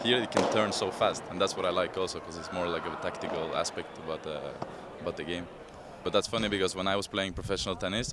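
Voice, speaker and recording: With a Norwegian accent and a very deep, low pitch, a man talks at a very fast pace amid noticeable background noise. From Norway, Oslo. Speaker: padel player, former tennis pro. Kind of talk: interview. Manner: conversational, with hesitations and repetitions.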